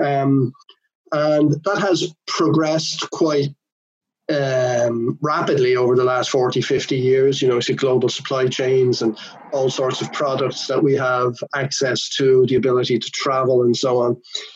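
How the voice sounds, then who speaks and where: This is a man with an ordinary speaking voice at medium pitch. He talks at a fairly slow pace with fairly even intonation. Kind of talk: interview.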